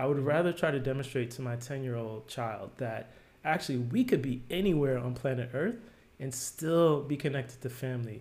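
A man speaks at a fairly quick pace in a medium pitch, with ordinary pitch variation and a somewhat breathy sound. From New Jersey, US. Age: 40s. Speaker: product designer. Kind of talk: casual interview.

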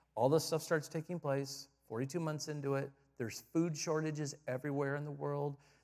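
A man's fairly high voice with an American accent, fairly quick in pace and fairly even in intonation. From Michigan, US Midwest. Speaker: visiting pastor. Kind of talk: sermon. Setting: church service with congregation.

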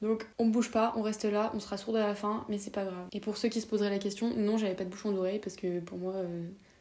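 The tone is dark and mellow, and the pace is very fast. There are hardly any pauses. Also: woman, medium pitch for a woman. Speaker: podcaster. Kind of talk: storytelling monologue. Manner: animated.

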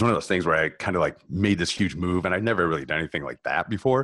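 A man's speech carries vocal fry and lively intonation. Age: 30s. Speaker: fitness and life coach. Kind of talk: casual chat.

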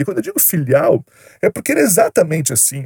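A man with a high pitch and a dark, mellow tone talks at a fairly quick pace, his pitch swinging very widely in a dry, close sound with no echo. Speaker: YouTuber. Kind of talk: storytelling monologue. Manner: casual, slangy.

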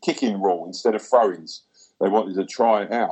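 This man has an Essex accent and a fairly low pitch. He talks at a fairly quick pace. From Essex, England. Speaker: goalkeeping coach. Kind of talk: casual chat. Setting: video call.

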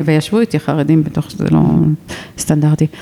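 A woman talks against noticeable background noise. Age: 50s. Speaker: podcast host. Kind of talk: interview. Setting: museum in Jerusalem.

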